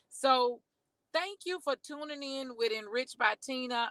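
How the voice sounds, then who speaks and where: An energetic voice with a bright, sharp tone moves at a fairly slow pace with ordinary pitch variation, in a dry, close sound with no echo. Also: woman. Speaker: fitness and wellness vlogger. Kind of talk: casual livestream talk. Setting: in a car. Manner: loud, energetic.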